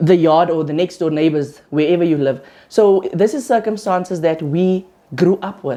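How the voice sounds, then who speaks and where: At a moderate pace, a woman speaks with a dark, mellow tone and a fairly low pitch. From South Africa, Kimberley. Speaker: interviewer. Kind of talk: interview.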